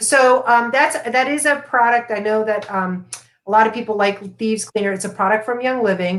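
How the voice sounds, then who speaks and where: A normal speaking voice with an American accent and ordinary pitch variation. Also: woman, fairly high pitch for a woman, moderate pace. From US, Florida. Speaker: essential oils and meditation educator. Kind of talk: live stream interview. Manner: casual, many fillers.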